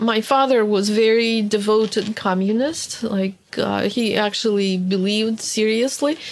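A woman with a Russian accent speaks at a fairly high pitch and a fairly slow pace, with fairly even intonation, very even loudness and hardly any pauses. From Soviet Union, born in Hungary. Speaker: historian and archive analyst. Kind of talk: interview testimony.

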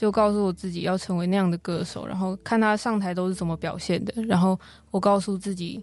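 A woman speaks at a fairly quick pace in a monotone, flat intonation against a quiet background. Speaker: singer-songwriter and university student. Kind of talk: interview.

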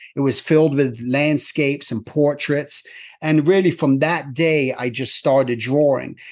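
In a normal speaking voice, a man speaks with fairly even intonation and a fairly high pitch. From England, moved to US at ten. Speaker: animator and character designer. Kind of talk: interview conversation.

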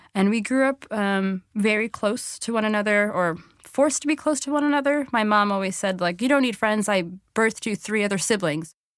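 A woman with an American accent and a plain, everyday voice, fairly high in pitch with ordinary pitch variation, at a fairly quick pace, in a very clean recording with a silent background. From New York City (Flushing, Queens). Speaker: sex educator. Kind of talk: personal storytelling interview.

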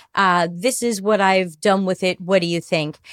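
Recorded very cleanly against a silent background with a dry, close sound and no echo, a woman with an unremarkable speaking voice talks at a medium pitch with fairly even intonation. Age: 50s. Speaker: customer experience consultant. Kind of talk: casual interview.

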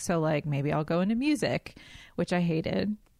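A woman speaks with an American accent and a fairly low pitch in a normal speaking voice. The recording is very clean, with a silent background. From US South, coastal North Carolina. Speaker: eating disorder dietitian. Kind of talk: casual chat.

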